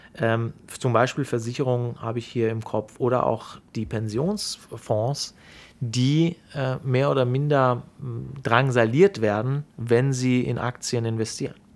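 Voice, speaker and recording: On a very clean recording with a silent background, a man of medium pitch speaks at a very slow pace. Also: ordinary pitch variation. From Germany, Sauerland (from Iran at age 8). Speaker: bank executive. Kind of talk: interview. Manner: hesitant with frequent fillers.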